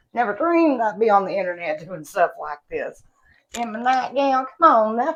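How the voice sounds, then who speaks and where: In an Appalachian accent, a woman talks at a moderate pace in a fairly high voice. Her pitch swings very widely, and her loudness shifts in big swings. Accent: Appalachian country. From West Virginia. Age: 30s. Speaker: beauty and product vlogger. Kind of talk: casual vlog chat. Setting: at home.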